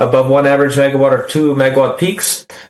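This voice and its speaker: A fairly high-pitched man at a fairly quick pace, with audible room echo and noticeable background noise. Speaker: utility rate consultant. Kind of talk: presentation to city council. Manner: fast.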